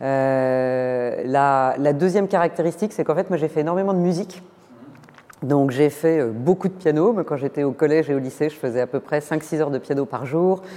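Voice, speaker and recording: A woman speaks with a very deep, low voice. Her pace is moderate, and her pitch varies in an ordinary way. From eastern France. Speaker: finance executive. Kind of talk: interview.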